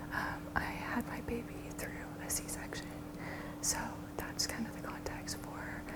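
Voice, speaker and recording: Whispering in a relaxed tone, a woman speaks at a fairly slow pace against noticeable background noise. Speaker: new mother, ASMR creator. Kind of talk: ASMR whisper ramble about postpartum life. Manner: whispered, soft-spoken, relaxed.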